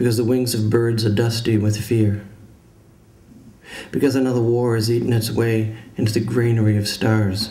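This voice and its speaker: A man speaks at a moderate pace in a dark, mellow tone. His voice is somewhat breathy. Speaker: poet giving a reading. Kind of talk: poetry reading. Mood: grave, measured. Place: hall. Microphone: podium.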